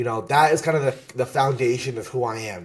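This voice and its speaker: A somewhat breathy, medium-pitched man in an animated tone with a New Jersey accent and ordinary pitch variation. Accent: New Jersey American English. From US, New Jersey. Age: 20s. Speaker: Pokemon content creator and competitor. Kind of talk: podcast interview.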